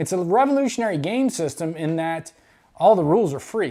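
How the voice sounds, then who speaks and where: Speech with an American accent, very clean recording, silent background. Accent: Texas pronunciation others tease. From Texas. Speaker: YouTube wargaming hobbyist. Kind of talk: unboxing video. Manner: casual, some self-corrections.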